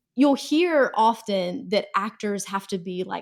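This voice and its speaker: Speaking at a moderate pace, a woman with an American accent keeps a medium pitch on a very clean recording with a silent background. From North Carolina. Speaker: communications executive, former news reporter. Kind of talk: interview. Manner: conversational.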